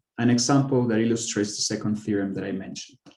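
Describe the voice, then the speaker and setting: Audible room echo surrounds a man of medium pitch who uses ordinary pitch variation. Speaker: mathematician giving a research talk. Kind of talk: lecture. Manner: halting, with fillers and self-corrections.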